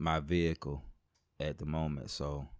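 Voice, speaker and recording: A man with an Alabama accent and a very deep, low pitch, on a very clean recording with a silent background. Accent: Alabama Southern. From US South, Montgomery, Alabama. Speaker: rapper. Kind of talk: casual interview chat.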